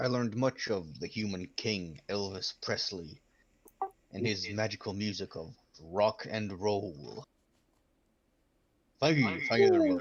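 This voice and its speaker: Using a put-on character voice, a man speaks at a fairly low pitch. He leaves long, frequent pauses. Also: fairly slow pace. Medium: actual play. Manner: stilted, formal, addresses others as 'human'.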